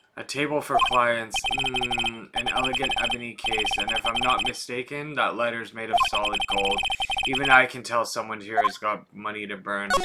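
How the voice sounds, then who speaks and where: At a moderate pace, a man performs a raspy, put-on character voice. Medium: game stream. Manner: dry, wry.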